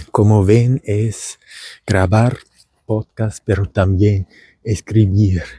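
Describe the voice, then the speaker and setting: Very slowly, a man speaks with an Argentine accent, his tone dark and mellow and somewhat breathy, in a dry, close sound with no echo. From Germany. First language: German (speaking Spanish). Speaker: vlogger and language teacher. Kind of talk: casual vlog monologue. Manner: halting.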